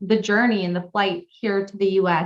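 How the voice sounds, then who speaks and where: A woman with a Californian accent, medium pitch, ordinary pitch variation and a fairly quick pace. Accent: Californian American. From California, US. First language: Pashto. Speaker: pilot and non-profit founder. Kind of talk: interview.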